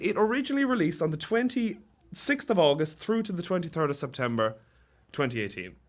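A man with a British accent speaks at a fairly quick pace in an animated tone. His pitch swings very widely. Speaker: student guest. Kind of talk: casual chat. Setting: studio.

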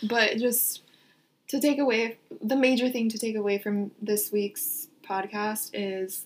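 A woman with an American accent speaks at a fairly slow pace, her fairly high pitch showing ordinary variation. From Orange County, California. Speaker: podcast co-host and student. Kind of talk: casual chat.

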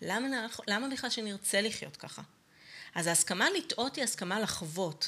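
A woman speaks at a moderate pace with a fairly high pitch. Her tone is bright and sharp, her intonation lively. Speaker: podcast co-host, coach. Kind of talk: casual chat.

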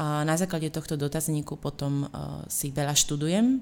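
A woman's very deep, low voice at a moderate pace, with fairly even intonation and a very clean recording over a silent background. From Slovakia. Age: young. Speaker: marketing consultant and blogger. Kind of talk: interview.

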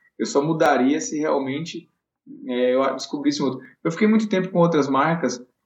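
A man with a fairly high pitch and an unremarkable speaking voice, at a moderate pace with lively intonation. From Bahia, Brazil (Vitória da Conquista). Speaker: elite runner and running coach. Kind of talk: casual interview.

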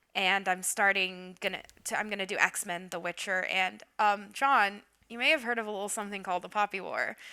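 In an American accent, a woman talks at a fairly quick pace with fairly even intonation and a bright, sharp tone on a very clean recording with a silent background. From Oklahoma. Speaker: podcast co-host. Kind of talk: casual chat.

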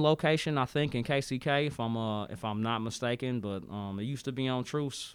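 An unremarkable speaking voice with an American accent, at a moderate pace with hardly any pauses. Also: man. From Kansas City, Missouri. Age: 30s. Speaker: podcast host, college student, Navy veteran. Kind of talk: casual discussion podcast.

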